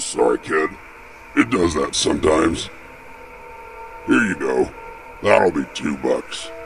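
A man's put-on character voice at a fairly slow pace, with long, frequent pauses over clear background noise. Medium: read story. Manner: gruff, offhand, amused.

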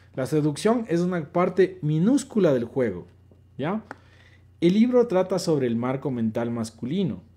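A moderate pace with very wide pitch swings. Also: man. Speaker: live-stream host and dating coach; live-stream host, dating coach. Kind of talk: casual live stream answering chat questions. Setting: online live stream. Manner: animated. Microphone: phone near.

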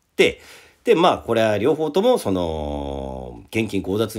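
A man's voice, marked by vocal fry, swings very widely in pitch. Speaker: radio host and rock festival organizer. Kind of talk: casual solo radio talk. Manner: animated.

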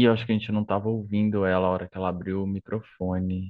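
A man with a fairly low pitch talks at a very fast pace in a monotone, flat intonation. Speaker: academic coordinator. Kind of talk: event moderation. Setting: video call.

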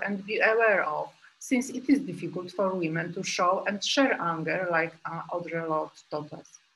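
Lively intonation marks this woman's speech. She keeps a moderate pace. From Poland. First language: Polish. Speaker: group analyst psychotherapist. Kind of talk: lecture. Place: home room. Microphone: webcam.

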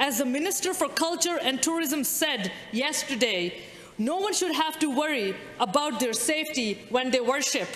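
A woman speaks at a moderate pace in a high voice with lively intonation. Audible room echo surrounds her. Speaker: member of provincial legislature. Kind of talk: parliamentary speech. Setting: legislature chamber. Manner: formal; measured. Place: hall. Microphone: podium.

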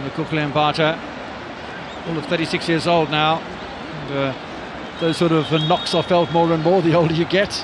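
Over noticeable background noise, a man with a fairly high pitch speaks at a fairly slow pace. His intonation is monotone and flat, broken by long, frequent pauses. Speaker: play-by-play commentator. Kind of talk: live football commentary, play-by-play over the action with occasional banter. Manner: conversational, with hesitations and fillers.

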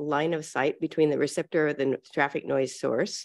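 Over a quiet background, the woman's speech moves at a fairly quick pace. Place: meeting room. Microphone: podium.

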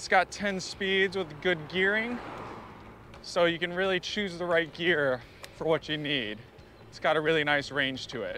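At a moderate pace, a man speaks with lively intonation, the sound dry with no echo over light background noise. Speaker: bike reviewer. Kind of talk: ride-along product review. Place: bicycle. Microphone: phone near.

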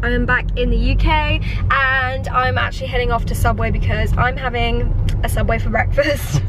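Over noticeable background noise, a woman's voice comes through dry, with no echo. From Poland, raised in England. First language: Polish. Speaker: vlogger. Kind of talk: casual vlog talk to camera. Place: car. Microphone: phone near.

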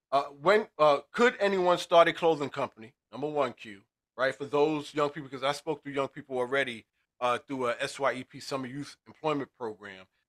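A man speaks at a fairly high pitch and moderate pace with ordinary pitch variation. His loudness swings widely over a quiet background. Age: 50s. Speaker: podcast co-host and educator; podcast host. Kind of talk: interview. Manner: halting. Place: office. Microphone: studio mic.

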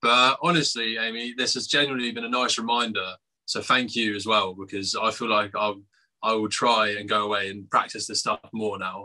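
A man in an English accent, medium pitch and fairly even intonation at a moderate pace. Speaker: punk band musician and lyricist. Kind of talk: casual interview.

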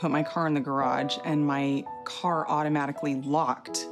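Over clear background music, a woman speaks with a very deep, low pitch and fairly even intonation. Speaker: club member. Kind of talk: interview answer. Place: garage.

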